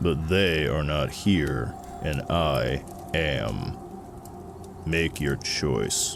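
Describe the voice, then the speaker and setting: A man's growling, put-on character voice at a very slow pace, full of long, frequent pauses, over loud background noise. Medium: read story. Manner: measured, terse.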